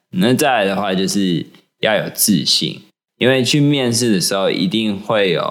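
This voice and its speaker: Moving at a fairly slow pace, a man with a normal speaking voice talks at a medium pitch with lively intonation. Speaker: podcast co-host. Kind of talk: casual chat.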